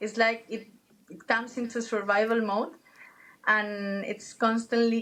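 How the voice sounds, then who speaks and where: A woman talks at a fairly slow pace with a non-native accent. Her pitch is fairly high. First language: not English. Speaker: travel guide and former pharmacist. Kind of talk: interview conversation. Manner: animated; halting, with false starts.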